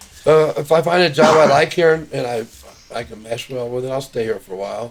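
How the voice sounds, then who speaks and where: Over noticeable background noise, a man with a fairly high pitch talks at a fairly quick pace, with ordinary pitch variation and big swings in loudness. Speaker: rehab patient. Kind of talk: interview.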